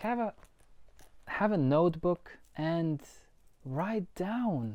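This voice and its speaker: The voice moves at a very slow pace with very wide pitch swings and a dark, mellow tone over a quiet background. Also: woman. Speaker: life coach. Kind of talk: motivational talk to camera. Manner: casual, repetitive restarts.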